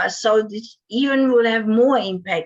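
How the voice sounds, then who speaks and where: This woman's voice is fairly high. She has a German accent. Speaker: divorce and breakup coach. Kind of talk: interview.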